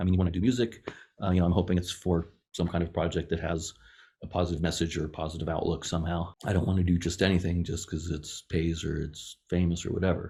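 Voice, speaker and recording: On a very clean recording with a silent background, a man speaks in a very deep, low pitch, somewhat breathy. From Las Vegas, US. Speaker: film composer and platform founder. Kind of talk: podcast interview.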